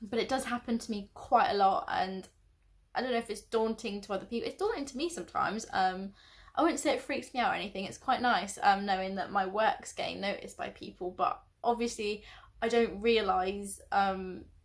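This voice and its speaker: A woman with a southern English accent speaks at a fairly quick pace in a fairly high voice, her intonation lively, on a very clean recording with a silent background. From southern England, Oxfordshire. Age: 20s. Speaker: vlogger. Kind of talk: casual chat. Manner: animated; halting.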